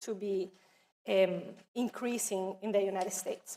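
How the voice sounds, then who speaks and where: This woman has a non-native accent. She talks at a moderate pace. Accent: noticeable non-native. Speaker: education office presenter. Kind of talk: training presentation.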